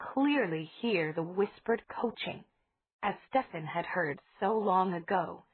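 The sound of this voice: Lively intonation runs through an unforced reading voice. The background is quiet.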